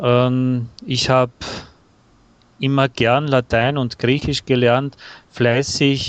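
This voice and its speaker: Speaking very slowly with an Austrian accent, a man keeps his medium-pitched voice at a fairly even intonation. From Austria, Bavarian-Austrian dialect area. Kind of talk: casual interview conversation. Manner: hesitant with fillers.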